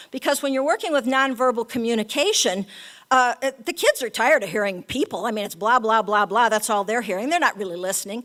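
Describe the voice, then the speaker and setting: Speaking very fast, a woman uses lively intonation at a fairly high pitch. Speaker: animal-assisted therapy educator. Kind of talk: talk to an audience.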